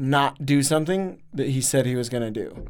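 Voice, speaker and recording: A man's fairly high voice, an ordinary speaking voice, at a fairly slow pace. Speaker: podcast co-host. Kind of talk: casual chat.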